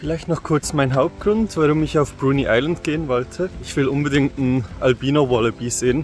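Faint music sits in the background as the speaker goes at a moderate pace with ordinary pitch variation, in a dry sound with no echo. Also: man. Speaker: travel vlogger. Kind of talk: casual vlog chat. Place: forest. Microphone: phone near.

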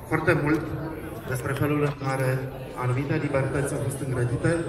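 Over noticeable background noise, a man talks at a fairly quick pace with monotone, flat intonation. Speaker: festival host on stage. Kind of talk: opening gala speech. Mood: earnest, rallying. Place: street.

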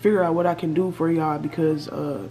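Over light background noise, a woman with a fairly low pitch speaks with fairly even intonation. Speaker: YouTuber. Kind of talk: casual Q&A vlog chat. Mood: subdued, reflective. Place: home room. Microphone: webcam.

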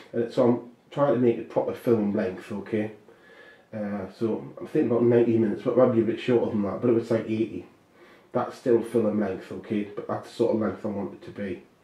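A man talks at a fairly quick pace and a medium pitch, sounding somewhat breathy. His pitch varies in an ordinary way. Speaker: filmmaker and author. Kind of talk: casual monologue about a film project. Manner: rambling, halting, with many fillers.

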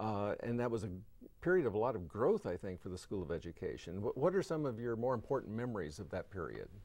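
A man talks at a very fast pace with vocal fry and very wide pitch swings, the sound dry with no echo. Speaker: interviewer. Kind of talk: interview questions. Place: studio.

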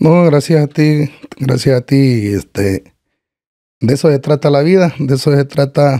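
A man with a Salvadoran accent speaks at a fairly high pitch and a fairly slow pace, his tone dark and mellow. His pitch varies in an ordinary way, and the background is quiet. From El Salvador, Chalchuapa, Santa Ana; El Salvador. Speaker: cancer patient guest; podcast guest. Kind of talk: casual interview chat. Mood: grateful, warm. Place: studio. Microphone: studio mic.

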